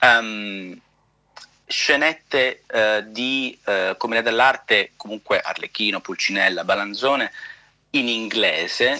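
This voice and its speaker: This man's bright, sharp voice sits at a medium pitch and moves at a very slow pace with long, frequent pauses. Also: ordinary pitch variation. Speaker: actor. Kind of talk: interview.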